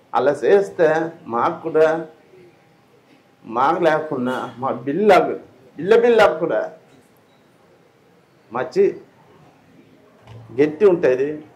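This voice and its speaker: In a Sri Lankan accent, a man talks with a fairly high pitch and lively intonation. Noticeable background noise is present. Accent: Sri Lankan Telugu dialect. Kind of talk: interview answer.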